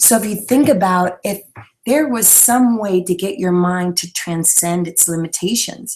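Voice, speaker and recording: A soft-spoken woman's voice, fairly low in pitch. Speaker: inspirational speaker and fitness leadership trainer. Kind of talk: live webinar talk. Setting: live online video broadcast.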